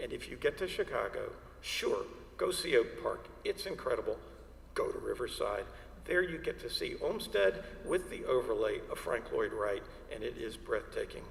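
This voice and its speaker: Someone with an American accent talks at a moderate pace, with audible room echo and noticeable background noise. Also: man, extremely high pitch for a man. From Atlanta, Georgia, US South. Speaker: landscape architect, lecturer. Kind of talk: illustrated lecture. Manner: halting, with fillers.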